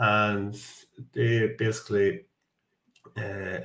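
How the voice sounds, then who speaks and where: A man with a fairly low pitch speaks with fairly even intonation. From Ireland, Dundalk. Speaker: construction engineering manager. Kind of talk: interview. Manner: halting.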